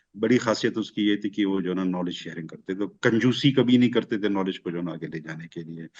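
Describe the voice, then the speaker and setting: Hardly pausing, a man with a fairly low pitch and ordinary pitch variation talks with big swings in loudness. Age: 50s. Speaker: friend of the deceased, panel guest. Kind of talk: remembrance discussion. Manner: halting, many fillers.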